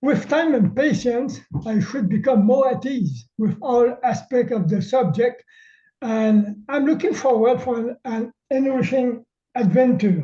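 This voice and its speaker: A man's extremely high voice in a Quebec accent, dark and mellow in tone, fairly slow, with ordinary pitch variation. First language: French. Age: old. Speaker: amateur astronomer. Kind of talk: webinar presentation. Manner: halting.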